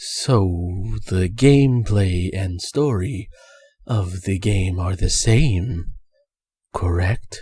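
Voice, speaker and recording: A man's put-on character voice, fairly low in pitch, at a very slow pace with long, frequent pauses. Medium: virtual streamer. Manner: clipped, formal.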